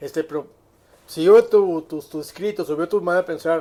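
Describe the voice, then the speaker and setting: The speaker is a man with a high voice. His intonation is fairly even. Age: 70s. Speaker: psychiatrist and industrial consultant. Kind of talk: casual chat. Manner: halting, with many repetitions.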